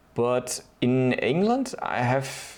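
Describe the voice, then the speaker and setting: A man speaks with a German accent. His pitch sits in the medium range. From Germany. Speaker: DIY video creator. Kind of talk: tutorial. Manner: hesitant, with fillers.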